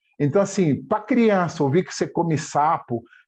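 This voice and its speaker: Speaking in a dark, mellow tone, a man keeps a moderate pace and a lively intonation. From Angola (Dundo, eastern Angola; later Luanda). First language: Chiluba / Chokwe (speaking Portuguese). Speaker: language teacher and entrepreneur. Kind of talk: interview.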